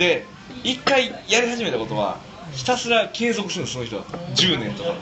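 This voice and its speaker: High-pitched male voice at a moderate pace with very wide pitch swings, noticeable background noise and audible room echo. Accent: Kansai. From Osaka. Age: 30s. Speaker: speaker at community talk event. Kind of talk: casual talk to a small audience.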